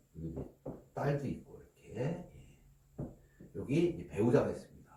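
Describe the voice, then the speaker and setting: With audible room echo, a man speaks at a fairly high pitch, his voice swinging very widely in pitch. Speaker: law office manager explaining inheritance law. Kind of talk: lecture. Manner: speeds up as he goes.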